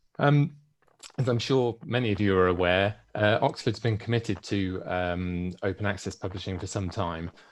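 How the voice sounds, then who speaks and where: A man with a British accent, fairly low in pitch, at a moderate pace with ordinary pitch variation, over a quiet background. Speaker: publisher sales manager. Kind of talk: conference presentation. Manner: halting, many fillers.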